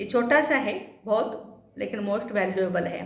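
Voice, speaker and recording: In a room with audible echo, a woman with a Marathi accent speaks with ordinary pitch variation. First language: Marathi (speaking Hindi). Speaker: spiritual teacher. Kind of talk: spiritual talk.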